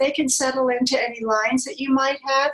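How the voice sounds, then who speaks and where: A woman's high-pitched voice, with ordinary pitch variation, comes through noticeable background noise. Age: 80s+. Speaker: model and author. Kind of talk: interview answer.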